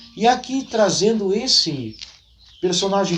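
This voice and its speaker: Through noticeable background noise, a man speaks at a fairly slow pace with lively intonation. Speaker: history YouTuber. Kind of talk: storytelling history talk. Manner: conversational, folksy.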